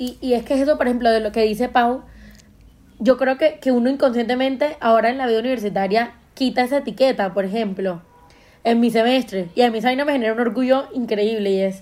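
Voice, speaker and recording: A woman's high voice, very fast, with ordinary pitch variation. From Colombia, Caribbean coast (Montería). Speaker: podcast host. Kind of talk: casual chat.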